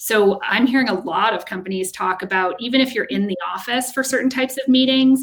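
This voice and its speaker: The pitch of this woman's voice shifts in an ordinary way. She is the one talking. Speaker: HR executive. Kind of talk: casual chat. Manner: loud talker on calls.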